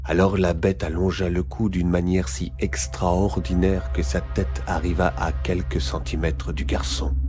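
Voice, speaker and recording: A man speaks at a very deep, low pitch. Music plays behind him. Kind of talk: children's scary story reading.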